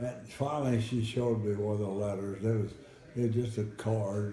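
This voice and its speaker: Noticeable background noise is present. A man is talking over it. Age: 90s. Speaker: war veteran. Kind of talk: casual storytelling to family. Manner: halting, repeats words.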